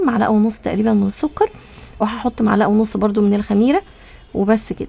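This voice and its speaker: Over noticeable background noise, a woman with a fairly high pitch speaks at a fairly quick pace with fairly even intonation. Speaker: cooking vlogger. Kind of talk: casual cooking vlog narration. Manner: chatty.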